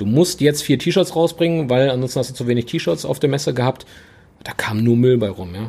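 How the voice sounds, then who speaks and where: A man talks at a fairly quick pace in a dark, mellow tone that is somewhat breathy. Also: medium pitch for a man. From Ruhr area, Oberhausen (western Germany). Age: 30s. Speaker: business owner (car apparel brand). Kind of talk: casual chat.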